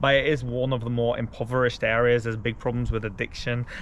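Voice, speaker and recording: A man's medium-pitched voice at a very fast pace. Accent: English. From Belgium. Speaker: travel vlogger. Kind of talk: casual travel vlog narration.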